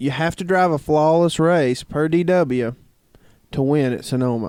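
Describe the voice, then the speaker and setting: In a Southern US accent, a man talks with a fairly high pitch. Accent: southern drawl. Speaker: podcast co-host. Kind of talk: casual chat.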